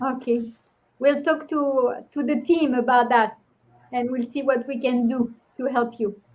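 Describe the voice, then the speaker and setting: In a French accent, a woman with a high pitch speaks at a fairly slow pace with fairly even intonation. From France. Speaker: restorative justice practitioner. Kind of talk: webinar presentation and Q&A.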